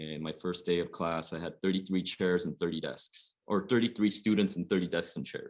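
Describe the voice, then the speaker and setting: A very deep, low male voice with a West Coast US accent and fairly even intonation, on a very clean recording with a silent background. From Oregon, US Pacific Northwest. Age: 40s. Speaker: high school basketball coach. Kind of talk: panel discussion.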